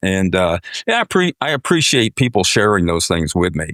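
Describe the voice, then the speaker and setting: At a moderate pace, a man with a fairly low pitch speaks on a very clean recording with a silent background and a dry, close sound with no echo. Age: 50s. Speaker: pilot and aviation business owner. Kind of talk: casual chat. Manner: halting.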